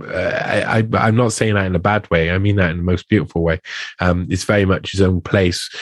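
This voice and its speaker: The speaker talks at a fairly quick pace with a Welsh accent. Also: man, very deep, low pitch for a man. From South Wales. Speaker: investigative journalist and musician. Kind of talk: interview conversation. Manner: halting, with many repetitions; animated.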